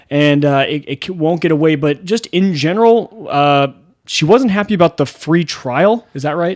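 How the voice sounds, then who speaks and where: A man's fairly high-pitched voice at a moderate pace with ordinary pitch variation. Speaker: podcast host. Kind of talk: casual podcast chat. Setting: home studio. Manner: loud.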